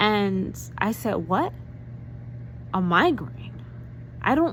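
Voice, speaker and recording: A woman with an American accent speaks at a very slow pace. Room echo is audible. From New York. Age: 40s. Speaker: vlogger. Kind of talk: personal vlog testimony. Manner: animated.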